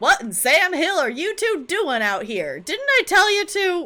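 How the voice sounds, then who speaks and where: Putting on a character voice, a woman speaks at an extremely high pitch with very wide pitch swings and a moderate pace. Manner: stern, scolding.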